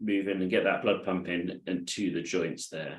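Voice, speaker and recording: In a British accent, a man talks at a moderate pace with a calm tone. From UK. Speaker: adaptive fitness instructor. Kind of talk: live online exercise class instruction. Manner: calm, encouraging.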